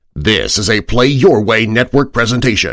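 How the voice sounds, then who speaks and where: Using an ordinary speaking voice, a man talks at a fairly slow pace with a medium pitch and ordinary pitch variation. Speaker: voice actor. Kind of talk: movie trailer.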